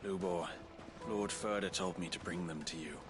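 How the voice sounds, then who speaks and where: Through loud background noise, a man does a put-on character voice with a very deep, low pitch at a moderate pace. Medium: short film.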